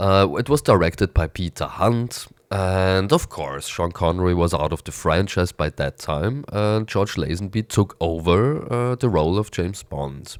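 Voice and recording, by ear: A man speaks low and fairly slowly, raspy and nasal, with lively intonation and few pauses. The recording is very clean, with a silent background.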